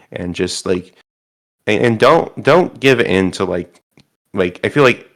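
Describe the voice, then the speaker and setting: Lively intonation runs through this man's fairly low-pitched voice as he speaks at a fairly slow pace. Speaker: reality show contestant. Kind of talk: interview. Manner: halting, stumbling over words.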